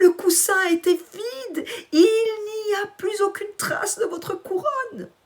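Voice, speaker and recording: This woman's pitch is extremely high. She is doing a put-on character voice. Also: fairly slow pace. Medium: read story. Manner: obsequious, feigning sorrow.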